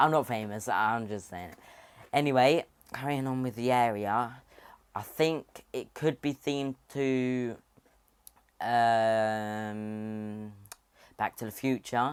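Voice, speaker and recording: A man with a British accent speaks very slowly at a medium pitch, leaving long, frequent pauses. His pitch varies in an ordinary way while his loudness swings widely. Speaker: theme park YouTuber. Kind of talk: casual video commentary. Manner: animated.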